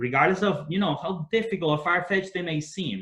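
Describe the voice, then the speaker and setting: A somewhat breathy man with a Spanish accent at a fairly quick pace. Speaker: entrepreneur and business leader. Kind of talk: webinar talk.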